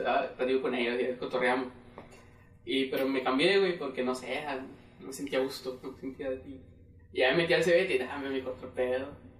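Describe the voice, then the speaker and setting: Speaking fairly quickly but with long, frequent pauses, a man with a Mexican accent is heard over noticeable background noise. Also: medium pitch for a man, ordinary pitch variation. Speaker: podcast co-host. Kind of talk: casual chat.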